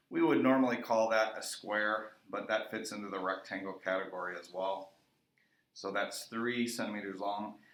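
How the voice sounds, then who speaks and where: At a moderate pace, a man speaks amid audible room echo. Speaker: middle school math teacher. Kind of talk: recorded math lesson.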